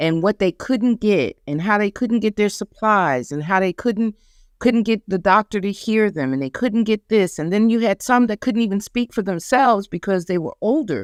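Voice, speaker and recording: On a very clean recording with a silent background, a woman with an unremarkable speaking voice and a medium pitch talks at a moderate pace with lively intonation and hardly any pauses. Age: 60s. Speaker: cancer survivor and patient advocate. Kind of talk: casual interview chat.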